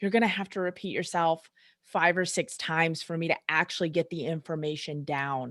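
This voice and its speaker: Recorded very cleanly against a silent background, with a dry, close sound and no echo, the speaker has a slight Southern US accent, a moderate pace and ordinary pitch variation. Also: woman. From US South. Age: 30s. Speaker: chiropractor. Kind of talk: casual chat.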